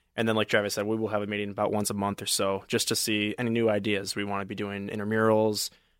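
An American accent at a very fast pace, with hardly any pauses and monotone, flat intonation. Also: man, fairly low pitch for a man. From Michigan. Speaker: student soccer club president. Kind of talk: casual interview.

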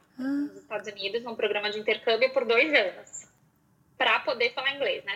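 A woman talks at a fairly quick pace. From Porto Alegre, southern Brazil. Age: 30s. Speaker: style consultant. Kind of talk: casual interview.

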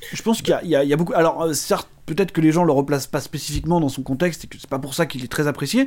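A man's very fast speech in a fairly high pitch. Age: 30s. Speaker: film podcast co-host. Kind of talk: casual chat. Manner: halting.

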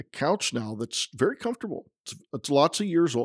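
Recorded very cleanly against a silent background, with a dry, close sound and no echo, a man uses an ordinary speaking voice and lively intonation. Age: 50s. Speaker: pastor. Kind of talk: casual chat. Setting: in person, visiting Copenhagen.

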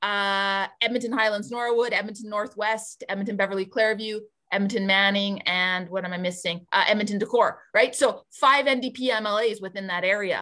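In an Albertan accent, a woman talks at a fairly quick pace in a bright, sharp tone, her pitch fairly high. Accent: Canadian (Albertan). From rural Alberta, Canada. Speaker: politician, former teacher. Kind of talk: interview conversation. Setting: podcast recording.

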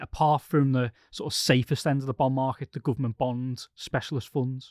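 A man with a British accent at a fairly quick pace and fairly high pitch, in a very clean recording with a silent background and a dry, close sound with no echo. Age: 30s. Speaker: podcast host, investment journalist. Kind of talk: casual chat, financial podcast discussion.

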